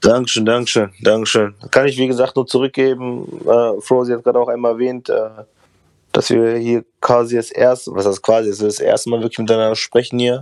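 Here a man talks at a fairly quick pace with a medium pitch. His intonation is monotone and flat. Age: 30s. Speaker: guest, rapper. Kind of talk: casual chat. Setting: remote call. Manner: fast, stammering repetitions.

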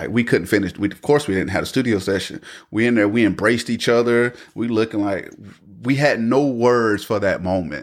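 Speaking with an American accent at a fairly quick pace, a man uses a medium pitch and ordinary pitch variation on a very clean recording with a silent background. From North Carolina, US South. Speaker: clothing brand owner and church musician. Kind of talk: casual chat.

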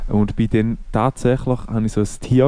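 Against a quiet background, a man with a Swiss accent speaks in a dark, mellow tone. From Switzerland. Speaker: podcast co-host. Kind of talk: casual chat.

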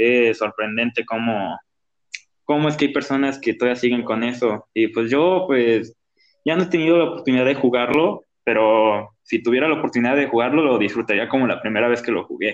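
A man with a Mexican accent talks fairly quickly at medium pitch with ordinary pitch variation. His loudness stays very even. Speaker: gaming podcast co-host. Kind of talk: casual chat.

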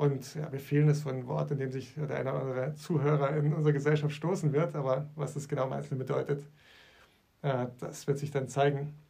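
A man talks at a fairly quick pace with a fairly high pitch and a dark, mellow, somewhat breathy tone. His intonation is monotone and flat, and audible room echo surrounds him. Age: 40s. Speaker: church leader, podcast co-host. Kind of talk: casual chat.

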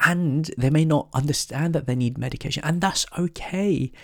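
A somewhat breathy man is heard in a very clean recording over a silent background. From Korean heritage, raised in northern England. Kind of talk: devotional Bible teaching.

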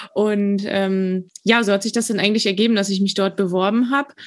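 On a very clean recording with a silent background, a woman speaks at a fairly quick pace with a medium pitch and a monotone, flat intonation. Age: 20s. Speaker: dental student, trained dental assistant. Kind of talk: interview.

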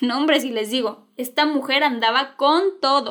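On a very clean recording with a silent background, a woman with a Mexican accent speaks at a high pitch and a fairly slow pace, in an animated tone with ordinary pitch variation. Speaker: podcast host. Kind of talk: scripted storytelling narration.

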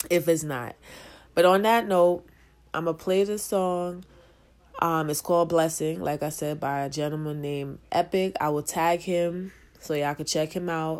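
This woman's pitch sits fairly low, and she talks at a moderate pace. She has a plain, everyday voice. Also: fairly even intonation. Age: 30s. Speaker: podcast host. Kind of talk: casual chat.

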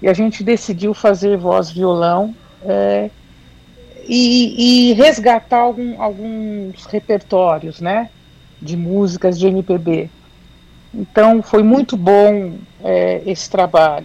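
A woman speaks very slowly at a medium pitch, with ordinary pitch variation. She leaves long, frequent pauses. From São Paulo city, Brazil. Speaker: independent singer. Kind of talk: radio interview.

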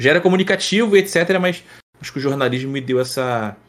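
On a very clean recording with a silent background, a man with an ordinary speaking voice speaks at medium pitch with lively intonation. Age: 30s. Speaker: streamer and presenter, former sports journalist. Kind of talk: casual interview chat.

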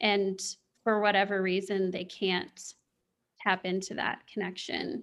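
A woman with an American accent speaks at a fairly slow pace in a monotone, flat way. She takes long, frequent pauses. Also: medium pitch for a woman. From US Midwest, Kansas City area. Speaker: spiritual coach. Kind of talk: interview.

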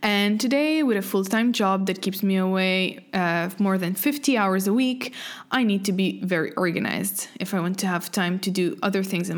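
In a normal speaking voice, a woman talks at a medium pitch and moderate pace with ordinary pitch variation. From French Canada. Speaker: podcast host. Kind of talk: scripted monologue.

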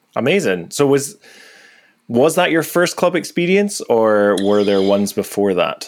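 Moving at a fairly slow pace, a man speaks with very wide pitch swings. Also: medium pitch for a man, very even loudness. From Aberdeen, Scotland. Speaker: podcast host and music producer. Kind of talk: casual chat.

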